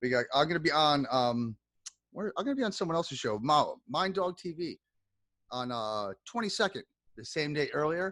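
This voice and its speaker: Energetic and animated, a man with a fairly high pitch talks at a fairly quick pace. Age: 40s. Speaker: podcast host. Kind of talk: casual chat. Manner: energetic, animated.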